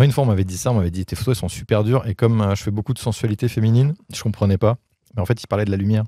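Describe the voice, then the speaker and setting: Over a quiet background and in a dry sound with no echo, a man talks at a very fast pace in a fairly low pitch, his tone dark and mellow and his intonation fairly even. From Paris region, France; France. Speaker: photographer; guest. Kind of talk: casual interview. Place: garden. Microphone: handheld.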